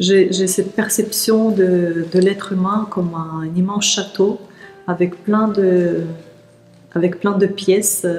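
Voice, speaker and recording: With noticeable background noise behind her, a woman talks at a very slow pace at medium pitch in a monotone, flat intonation. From Siberia, Russia. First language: Russian (speaking French). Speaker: teacher of energy practice and workshop leader. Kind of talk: interview. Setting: outdoors in a park. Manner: hesitant, many fillers.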